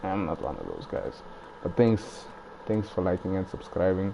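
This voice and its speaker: A soft-spoken man talks at a moderate pace with fairly even intonation. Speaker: gaming streamer. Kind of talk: live gameplay commentary. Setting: at home at night. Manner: casual.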